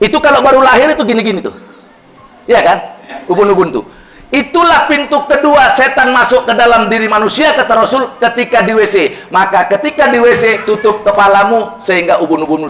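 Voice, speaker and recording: A man speaks loudly, with an animated tone, lively intonation, an extremely high pitch and a fairly quick pace. Noticeable background noise and audible room echo surround him. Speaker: Islamic preacher. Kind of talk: sermon.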